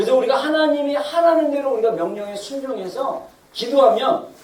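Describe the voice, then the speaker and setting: Noticeable background noise sits behind the voice. Delivery comes at a fairly quick pace. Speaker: pastor. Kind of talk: sermon. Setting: church. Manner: fast.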